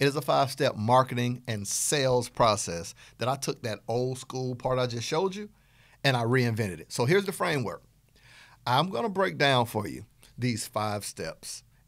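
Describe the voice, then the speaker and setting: A man with a Southern US accent at a medium pitch and moderate pace, lively intonation and an animated tone, in a very clean recording with a silent background. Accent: Southern twang. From US South. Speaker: business coach podcast host. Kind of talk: podcast lecture.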